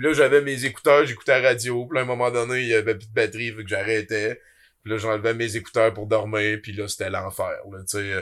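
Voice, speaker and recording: Captured in a very clean recording with a silent background, a man with an unremarkable speaking voice talks fairly quickly at a medium pitch, with fairly even intonation and big swings in loudness. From Quebec, Abitibi. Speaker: podcast host and web creator. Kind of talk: casual chat.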